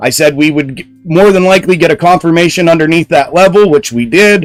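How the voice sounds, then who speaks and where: Over music in the background, a man with a high voice talks loudly at a fairly quick pace with ordinary pitch variation. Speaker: stock trading live streamer. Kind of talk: live stream commentary. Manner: animated.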